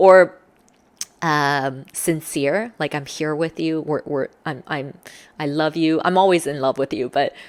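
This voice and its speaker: A woman with a very deep, low pitch, ordinary pitch variation, an animated tone and a fairly slow pace. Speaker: social skills coach. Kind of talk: tutorial.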